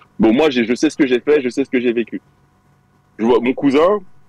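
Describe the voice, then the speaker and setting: The recording is dry and close, with no echo, as a man talks at a moderate pace. His pitch is medium and swings very widely. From Belgium, Liège. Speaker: caller telling a story. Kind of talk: storytelling on live stream call.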